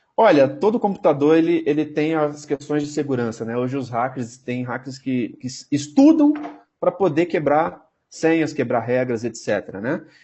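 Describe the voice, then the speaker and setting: Using lively intonation, a man speaks at a fairly high pitch. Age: 30s. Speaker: database technology specialist. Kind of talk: interview. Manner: fast. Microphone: unstable connection.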